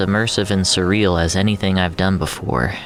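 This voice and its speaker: A fairly low-pitched man at a moderate pace, amid noticeable background noise. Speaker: audio fiction narrator and voice actor. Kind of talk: casual podcast host talk. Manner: upbeat, playful.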